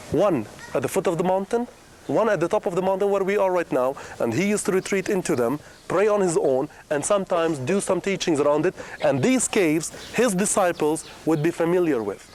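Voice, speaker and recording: Amid noticeable background noise, a man with a Middle Eastern accent speaks very fast, his high pitch carried by lively intonation. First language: Aramaic. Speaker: tour guide. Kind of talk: guided tour talk.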